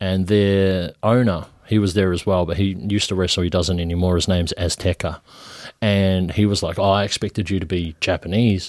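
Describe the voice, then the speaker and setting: Fairly quick speech in a New Zealand accent, with fairly even intonation and a very clean recording over a silent background. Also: man, very deep, low pitch for a man. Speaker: professional wrestler. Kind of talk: casual chat. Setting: studio.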